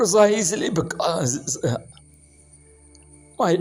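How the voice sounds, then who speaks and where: A man is speaking. Music plays in the background. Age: 60s. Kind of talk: personal faith testimony.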